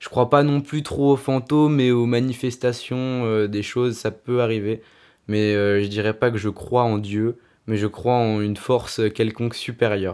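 This very clean recording has a silent background. A man at medium pitch speaks at a fairly slow pace with fairly even intonation. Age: 20s. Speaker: illustrator. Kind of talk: interview. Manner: halting, many hesitations.

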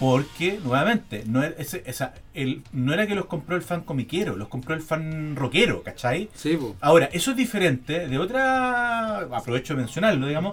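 A man's fairly high voice in a Chilean accent, with very wide pitch swings. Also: moderate pace. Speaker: podcast host. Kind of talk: casual chat.

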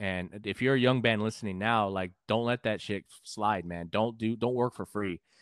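A man's fairly low voice, a normal speaking voice, with fairly even intonation and hardly any pauses. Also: moderate pace. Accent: American. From San Antonio, Texas. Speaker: musician and podcaster. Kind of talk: casual interview chat.

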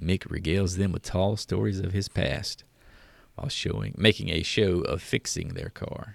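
An American man with a very deep, low pitch speaks at a moderate pace with vocal fry and ordinary pitch variation on a very clean recording with a silent background. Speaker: podcast host. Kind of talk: casual banter podcast.

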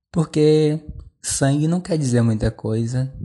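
A man's dark, mellow tone carries ordinary pitch variation over a quiet background. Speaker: podcaster. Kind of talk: personal monologue. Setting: at home.

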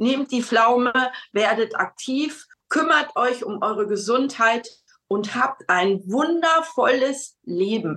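Speaking at a very slow pace, a woman has a high pitch and a bright, sharp tone. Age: 60s. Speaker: customer sharing health story. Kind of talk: testimonial interview. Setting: video call.

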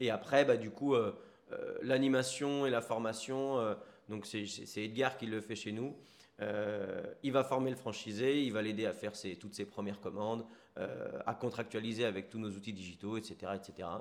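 This is a man with a normal speaking voice at medium pitch. He talks at a fairly slow pace with fairly even intonation. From Paris region, France. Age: 30s. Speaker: entrepreneur, restaurant founder. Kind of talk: casual interview chat. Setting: on location in a sandwich shop.

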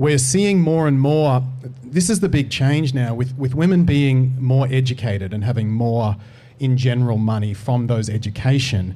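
The speaker talks at a moderate pace with an Australian accent and ordinary pitch variation. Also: man, medium pitch for a man. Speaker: dating coach. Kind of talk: panel discussion. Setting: studio.

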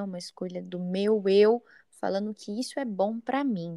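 The sound is close and dry, without any echo. Her pitch sits in the middle range. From São Paulo, Brazil. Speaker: podcast host. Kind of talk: interview.

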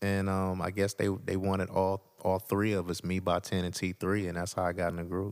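In a very deep, low voice, a man speaks at a fairly quick pace with monotone, flat intonation. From Detroit. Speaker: guest, works in L.A. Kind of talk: casual interview chat.

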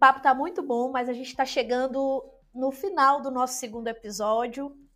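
Here a woman speaks at a high pitch. Her pace is moderate. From Brazil, interior of Maranhão. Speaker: podcast host. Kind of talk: casual chat.

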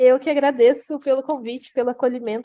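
A woman speaks at a fairly quick pace in a high-pitched voice with a dark, mellow tone. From Brazil, Goiás (Jataí). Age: 30s. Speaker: publicity student. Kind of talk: podcast interview.

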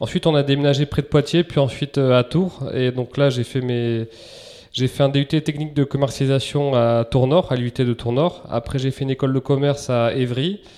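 A man with an ordinary speaking voice talks at a moderate pace and a medium pitch, his intonation fairly even. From Basque Country, France. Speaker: entrepreneur, menswear brand founder. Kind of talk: interview conversation.

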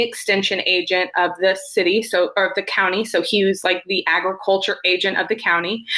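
With a Texan accent, a woman talks at a moderate pace and medium pitch, her intonation fairly even, over noticeable background noise. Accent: Texan American. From West Texas (small rural town). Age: 20s. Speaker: behavior analyst and consultant. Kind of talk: interview, personal story.

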